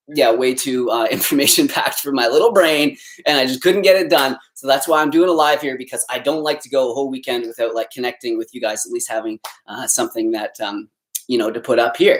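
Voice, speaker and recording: At a fairly quick pace, a man with an unremarkable speaking voice talks in a medium pitch with ordinary pitch variation. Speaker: vegan nutrition youtuber. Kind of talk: live stream Q&A. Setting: live stream. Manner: casual, lots of fillers.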